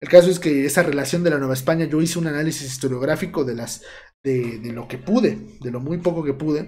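The voice is somewhat breathy and very fast, with ordinary pitch variation. Loudness swings widely, and room echo is audible. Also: man, fairly high pitch for a man. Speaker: history student and channel creator. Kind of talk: casual livestream chat. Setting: home livestream.

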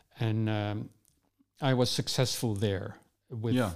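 A man with a Dutch accent talks at a fairly slow pace. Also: very clean recording, silent background. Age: 70s. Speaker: urban designer. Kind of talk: interview conversation. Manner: halting, repeats words.

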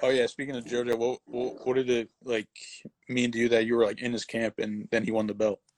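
With an American accent, a man speaks in a flat monotone, and the sound is dry and close with no echo. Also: medium pitch for a man, fairly quick pace. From New Jersey. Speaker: sports podcast host. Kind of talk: casual interview on instagram live.

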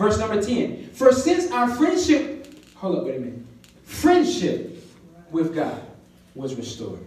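An animated tone comes through at a fairly slow pace amid noticeable background noise. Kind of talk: sermon. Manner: animated, call-and-response; conversational, informal, teaching.

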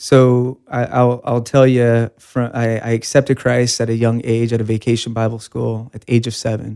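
A man with an American accent speaks at medium pitch in a dark, mellow tone, flat and monotone, at a moderate pace with hardly any pauses. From California, Bakersfield. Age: 30s. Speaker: church deacon. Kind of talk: testimony.

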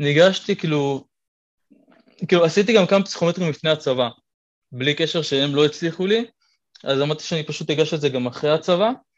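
At a fairly quick pace, a man with a fairly high pitch speaks with ordinary pitch variation and long, frequent pauses. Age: 20s. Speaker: calisthenics athlete and physiotherapy student. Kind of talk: casual interview chat.

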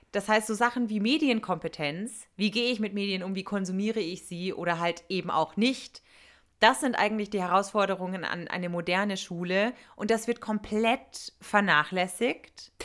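This woman has an ordinary speaking voice, with ordinary pitch variation and a moderate pace. The recording is very clean, with a silent background. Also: medium pitch for a woman. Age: 30s. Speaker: former teacher, podcast co-host. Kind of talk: casual chat.

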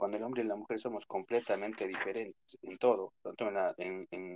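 Heard in a dry, close sound with no echo, a man with a plain, everyday voice talks at a medium pitch with fairly even intonation. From New York (born in Ecuador). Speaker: caller. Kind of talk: opinion call-in on a live audio space.

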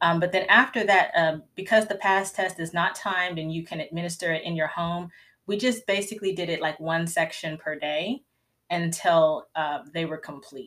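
A woman with a Southern US accent has a bright, sharp tone and a fairly low pitch, speaking at a moderate pace with ordinary pitch variation. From US South (Georgia). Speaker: homeschooling mom and podcast host. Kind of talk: live Q&A chat. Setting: livestream. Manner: conversational, many fillers.

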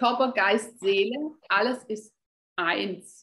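Delivered at a very slow pace, the speech has a somewhat breathy quality. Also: woman. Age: 50s. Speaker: health coach. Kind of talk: interview.

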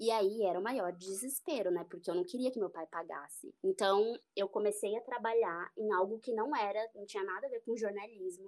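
A woman speaks in a normal speaking voice at a moderate pace, with hardly any pauses. Her pitch varies in an ordinary way. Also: medium pitch for a woman. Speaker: journalist, beauty and health reporter. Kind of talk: casual chat.

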